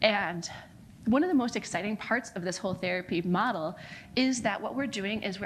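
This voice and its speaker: A woman with an American accent, medium pitch and ordinary pitch variation, somewhat breathy, at a fairly quick pace. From United States. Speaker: non-profit founder. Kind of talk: conference talk.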